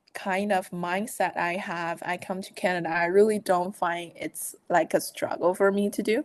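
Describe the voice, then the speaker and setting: A woman with a Chinese accent, medium in pitch, at a fairly slow pace with big swings in loudness, over a quiet background. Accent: Chinese-accented English, non-native. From China. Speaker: management consultant. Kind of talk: podcast interview. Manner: halting, many fillers.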